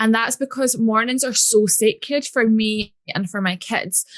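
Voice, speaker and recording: Recorded with a dry, close sound with no echo, a woman with a Scottish accent speaks at a moderate pace and fairly high pitch, with ordinary pitch variation. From Scotland. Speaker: business coach. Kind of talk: podcast interview. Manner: casual.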